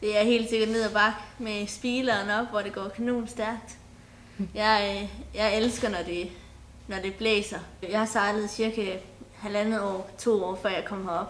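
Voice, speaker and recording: A woman with a fairly high pitch and monotone, flat intonation at a fairly slow pace, with audible room echo. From Denmark, Sønderborg, Southern Jutland. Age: 20s. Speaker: folk high school sailing student. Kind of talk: interview.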